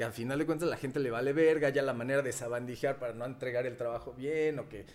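A man rattles along at a very fast pace with ordinary pitch variation. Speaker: podcast co-host. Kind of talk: casual chat.

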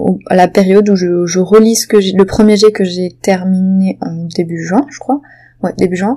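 Fairly slow speech with ordinary pitch variation against noticeable background noise. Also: woman. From southwestern France, Béarn. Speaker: novelist and podcaster. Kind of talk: casual solo monologue. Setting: home. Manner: hesitant, many fillers.

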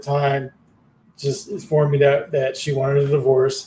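This man's fairly high, somewhat breathy voice has a dark, mellow tone and monotone, flat intonation at a moderate pace. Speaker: podcast host and guest. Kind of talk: casual conversation. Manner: halting, repeats words.

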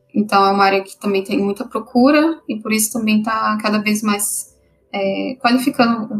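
This woman's voice is fairly high and somewhat breathy. She keeps a moderate pace. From Brasília, Brazil. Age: 30s. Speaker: software developer. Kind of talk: casual interview.

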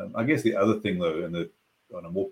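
This man has a South African accent. He speaks at a fairly quick pace. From South Africa, Cape Town. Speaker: business consultant. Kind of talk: interview conversation.

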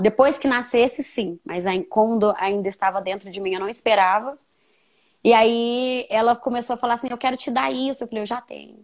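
A woman with a plain, everyday voice, fairly high in pitch, with ordinary pitch variation at a moderate pace, on a very clean recording with a silent background. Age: 30s. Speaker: young mother sharing her story. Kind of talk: testimony.

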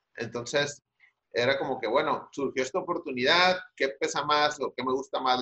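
This man's voice is fairly high in pitch with a bright, sharp tone. He keeps a moderate pace. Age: 40s. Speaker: marketing agency owner. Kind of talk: casual interview.

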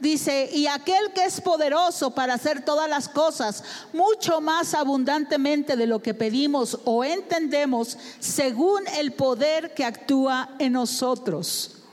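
With noticeable background noise, a woman speaks at a very slow pace in a high voice, her loudness very even, her pitch variation ordinary and hardly any pauses. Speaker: interpreter for a visiting preacher. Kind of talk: sermon interpretation.

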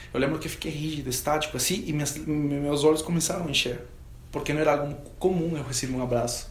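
Someone with a Spanish accent speaks very fast with fairly even intonation. There is audible room echo and noticeable background noise. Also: man, fairly high pitch for a man. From Peru. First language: Spanish (speaking Portuguese). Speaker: professional guitarist. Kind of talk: testimony.

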